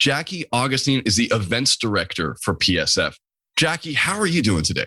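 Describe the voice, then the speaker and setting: A man talks fairly quickly at a medium pitch, with vocal fry, a bright, sharp tone and very wide pitch swings. The recording is very clean and dry, close to the mic with no echo and a silent background. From New England. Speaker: podcast host. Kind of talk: casual interview chat. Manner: fast.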